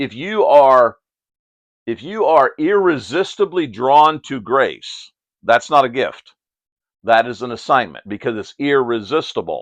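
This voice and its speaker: A man with a fairly high pitch talks at a fairly slow pace, with lively intonation and big swings in loudness, over a quiet background. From Pennsylvania, US. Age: 60s. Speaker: Bible teacher. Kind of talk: Bible study discussion. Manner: animated.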